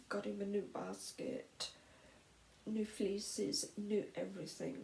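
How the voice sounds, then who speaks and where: A soft-spoken woman with a British accent talks at a very slow pace. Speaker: vlogger. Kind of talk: personal testimony. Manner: halting.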